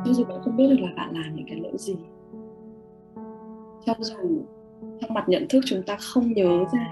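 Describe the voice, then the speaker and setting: Fairly high-pitched female speech broken by long, frequent pauses, with clear music in the background. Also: moderate pace. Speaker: meditation and mirror-work guide, live host. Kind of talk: guided meditation / self-love mirror work, live stream. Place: home room. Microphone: webcam.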